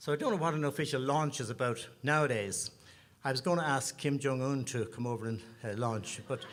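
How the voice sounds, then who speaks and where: Speaking at a fairly quick pace, a man with an Irish accent uses a medium pitch and ordinary pitch variation. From Ireland, Dublin. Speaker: singer-songwriter, bandleader. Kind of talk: stage banter at a concert. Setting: stage with audience.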